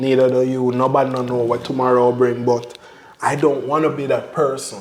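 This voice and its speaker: A man with a Jamaican accent and a medium-pitched voice speaks at a moderate pace, with audible room echo and noticeable background noise. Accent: Jamaican patois-inflected English. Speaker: family vlogger. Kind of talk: casual chat.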